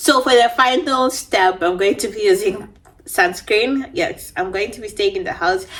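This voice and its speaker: Over noticeable background noise, a woman with a non-native accent speaks at a moderate pace, her fairly high voice showing lively intonation and big swings in loudness. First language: not English. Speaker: beauty vlogger. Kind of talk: casual storytime chat. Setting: at home.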